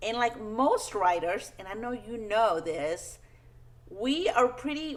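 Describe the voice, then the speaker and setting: A woman with a Spanish accent, high-pitched and very slow. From Peru, moved to US at ten. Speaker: children's book author. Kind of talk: talk to schoolchildren. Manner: friendly, simple, upbeat.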